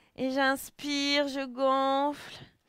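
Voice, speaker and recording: In a quiet background with a dry sound and no echo, a woman speaks at a high pitch. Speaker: fitness instructor. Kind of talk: exercise class instruction. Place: home room. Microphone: headset.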